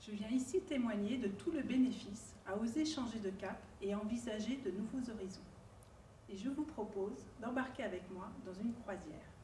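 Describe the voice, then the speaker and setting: Audible room echo surrounds a woman with a fairly high pitch. She talks at a moderate pace with ordinary pitch variation. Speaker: student and career changer. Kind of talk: prepared personal testimony.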